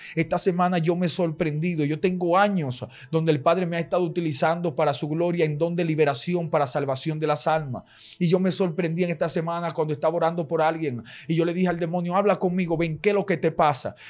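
A man's high voice at a very fast pace, with fairly even intonation. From Dominican Republic, Santiago; Dominican Republic. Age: 20s. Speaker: evangelist preacher. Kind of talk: sermon. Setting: studio. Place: studio. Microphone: studio mic.

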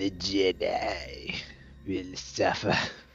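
A man's put-on character voice with a menacing, sinister tone, set against clear background noise.

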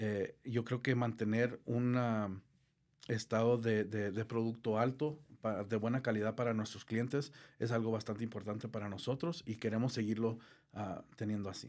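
A man speaks at a moderate pace against a quiet background. His intonation stays fairly even. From southern Colorado, US, Mexican immigrant family. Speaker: gutter installation business owner; guest. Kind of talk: interview. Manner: halting, many fillers. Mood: calm, friendly. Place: studio. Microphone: studio mic.

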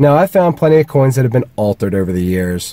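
Somewhat breathy and in a dark, mellow tone, a man speaks at a very fast pace with a dry sound and no echo. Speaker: metal detecting vlogger. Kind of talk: casual vlog chat. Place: car. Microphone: phone near.

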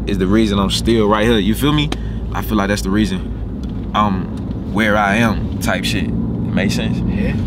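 Loud background noise surrounds the recording. A man speaks over it at a moderate pace. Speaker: car vlogger. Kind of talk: casual vlog chat. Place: car. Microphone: phone near.

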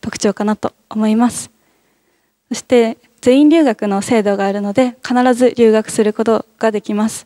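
A woman's dark, mellow tone at a fairly high pitch, fairly even intonation, dry sound with no echo and a quiet background. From Fukushima, Iwaki; Fukushima. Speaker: nursing student; presenter. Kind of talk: student presentation at open campus. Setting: campus hall with audience. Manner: polite, formal with fillers. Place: hall.

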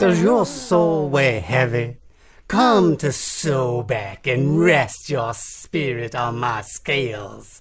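In a put-on character voice, a raspy, low-to-middle pitch moves along at a very slow pace. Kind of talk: radio comedy drama. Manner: grand, preaching.

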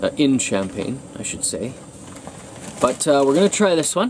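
Light background noise sits under the recording. A man speaks at a moderate pace. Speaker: camping vlogger. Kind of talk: casual vlog chat. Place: tent. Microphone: phone near.

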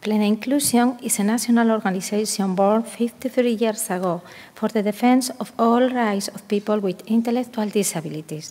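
A woman speaks in a Spanish accent at a fairly high pitch. Her pace is moderate with hardly any pauses and fairly even intonation. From Spain, Asturias. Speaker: conference panelist. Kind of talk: conference presentation. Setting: stage with audience. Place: hall. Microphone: podium.

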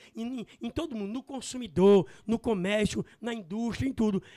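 Against a quiet background, a man talks fairly slowly in an extremely high pitch with ordinary variation and a dark, mellow tone. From Serra do Araripe, northeastern Brazil; Northeast Brazil. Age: 50s. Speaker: businessman; interview guest. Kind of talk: interview. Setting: studio. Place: studio. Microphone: handheld.

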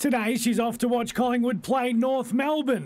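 Speaking at a moderate pace with an Australian accent, the man has an extremely high voice. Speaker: TV news reporter. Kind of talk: TV news report.

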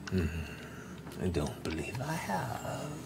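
A man does a put-on character voice over loud background noise. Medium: actual play. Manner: slow, formal.

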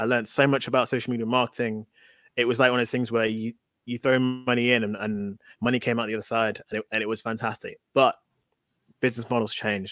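With a Mancunian accent, a man speaks at a very fast pace in a monotone, flat way, the sound dry with no echo over a quiet background. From Manchester, England. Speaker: tech entrepreneur. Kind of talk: interview. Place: home room.

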